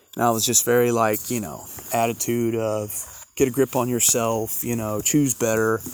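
There is noticeable background noise behind a man speaking at a moderate pace and medium pitch. His intonation is monotone and flat. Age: 50s. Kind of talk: casual devotional monologue. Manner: halting, many fillers.

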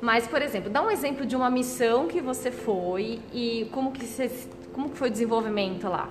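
A woman's fairly high voice with ordinary pitch variation at a moderate pace, with audible room echo and noticeable background noise. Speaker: podcast host, nurse. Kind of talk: interview. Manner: animated.

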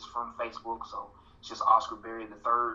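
A man with a Southern US accent over noticeable background noise. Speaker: guest, political organizer. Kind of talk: casual interview conversation.

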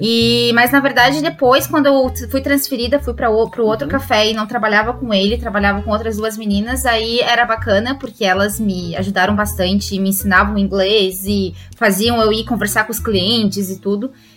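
A woman talks at a moderate pace with hardly any pauses. Music plays in the background. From southern Brazil, Santa Catarina. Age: 20s. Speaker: former lawyer, exchange student abroad. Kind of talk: podcast interview.

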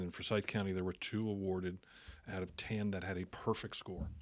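Over a silent background in a very clean recording, a man uses an ordinary speaking voice with an American accent. His pitch is fairly low, his intonation fairly even and his pace fairly quick. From New Jersey (Jersey Shore). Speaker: city council member and realtor. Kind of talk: casual interview.

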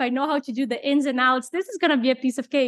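A high-pitched woman's voice in a Portuguese accent, dry and close with no echo. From Brazil. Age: 30s. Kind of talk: interview. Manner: halting.

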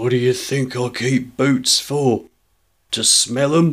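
A man's put-on character voice, husky and medium-pitched, flat and monotone at a fairly slow pace. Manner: slow, growing angrier.

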